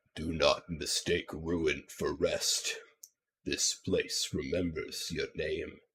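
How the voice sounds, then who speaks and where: At a very slow pace, a man talks in a put-on character voice. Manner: ominous.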